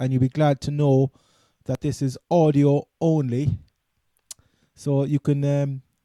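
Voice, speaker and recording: A man with a Cork accent, fairly high pitch and a dark, mellow tone, speaking with monotone, flat intonation at a fairly slow pace with long, frequent pauses, in a dry, close sound with no echo. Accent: Cork Irish. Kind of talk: casual sports podcast talk. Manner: casual, hesitant.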